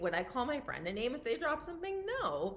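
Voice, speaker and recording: A woman speaks loudly, her pitch swinging very widely. Noticeable background noise can be heard. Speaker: physician and wellness coach. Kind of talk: live stream talk. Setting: at parents' house, live stream. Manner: casual, filler-heavy.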